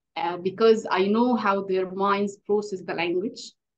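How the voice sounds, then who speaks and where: A woman with an Arabic accent talks at a moderate pace in a medium pitch. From Egypt. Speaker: English teacher. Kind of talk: interview. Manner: hesitant, many fillers.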